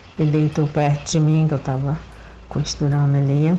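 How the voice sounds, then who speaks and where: Her intonation monotone and flat, a woman speaks in a very deep, low pitch. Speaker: listener sending voice message. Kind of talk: testimony. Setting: recorded voice message.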